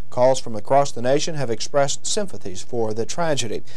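With ordinary pitch variation, a man speaks at a fairly quick pace. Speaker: news anchor. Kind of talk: news reading. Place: studio.

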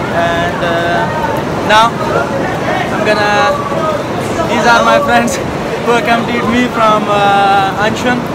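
A man's very slow speech with long, frequent pauses, crowd noise in the background. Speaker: travel vlogger. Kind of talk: casual vlog chat. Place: station. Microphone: phone near.

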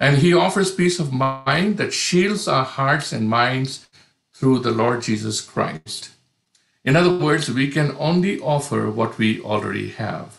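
Amid noticeable background noise, a man with a fairly high, somewhat breathy voice talks at a fairly slow pace with lively intonation. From India. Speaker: pastor, panelist. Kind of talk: prepared talk. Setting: online video conference. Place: home room. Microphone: video call.

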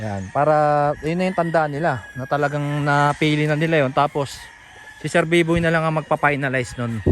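There is noticeable background noise behind this man. His pitch is fairly high, with ordinary pitch variation. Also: fairly quick pace. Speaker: vlogger touring a gamefowl farm. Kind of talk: casual vlog narration.

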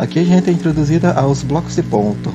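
A man's voice at a moderate pace, with very wide pitch swings over noticeable background noise. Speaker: speedrunner. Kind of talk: live gameplay commentary. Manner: halting.

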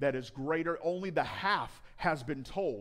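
The pitch of this man's speech varies in an ordinary way.

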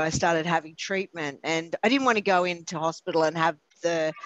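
A woman in an ordinary speaking voice, fairly low in pitch, at a moderate pace. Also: dry sound with no echo. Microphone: video call.

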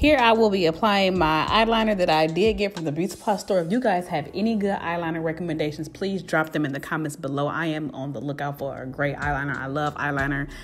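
A woman speaks very fast in a very deep, low voice with ordinary pitch variation. Faint music plays in the background. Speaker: beauty vlogger. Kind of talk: makeup tutorial vlog chat.

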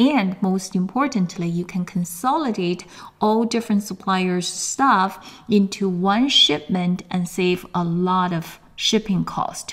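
The speaker sounds enthusiastic and somewhat breathy, talking at a fairly slow pace. They speak with a Chinese accent. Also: woman. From China. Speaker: sourcing coach and course instructor. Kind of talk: webinar presentation and sales pitch. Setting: online webinar, camera off.

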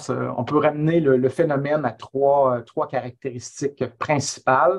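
Behind the speech the background stays quiet. A man delivers his words at a very slow pace. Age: 50s. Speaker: history professor; webinar guest. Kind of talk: webinar talk. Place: home room. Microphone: earbuds.

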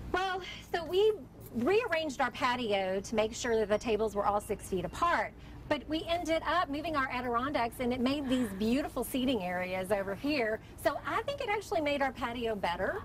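A woman speaks at a moderate pace in a high voice with very wide pitch swings. The sound is dry with no echo, over light background noise. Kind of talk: interview answer. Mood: upbeat, friendly. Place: cafe.

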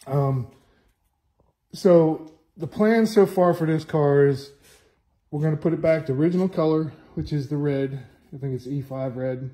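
Against a quiet background, a man speaks at a moderate pace with long, frequent pauses. His voice is fairly high, somewhat breathy, with a dark, mellow tone. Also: ordinary pitch variation. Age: 50s. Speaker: car restorer. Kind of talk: walkthrough video tutorial; casual vlog walkthrough. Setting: home workshop. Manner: casual, with many fillers. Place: garage. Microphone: phone near.

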